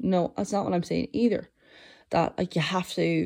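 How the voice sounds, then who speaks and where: A woman with an Irish accent speaks in a fairly low voice with a dark, mellow tone. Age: 20s. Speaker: podcast host and master's student. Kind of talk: solo monologue. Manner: halting.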